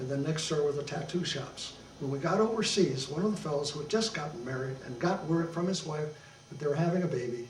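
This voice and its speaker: A man with an American accent, fairly high pitch and ordinary pitch variation at a very fast pace, with audible room echo and noticeable background noise. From Detroit, Michigan, US. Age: 80s+. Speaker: war veteran. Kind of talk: oral history interview. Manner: halting, many fillers.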